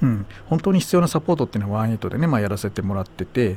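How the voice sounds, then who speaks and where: A dark, mellow tone at a very fast pace, with very wide pitch swings. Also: man. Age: 50s. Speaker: radio host. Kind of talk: casual chat.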